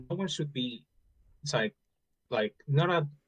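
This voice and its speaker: A man with a non-native accent, in a dry, close recording with no echo. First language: not English. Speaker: caller in debate. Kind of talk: casual debate.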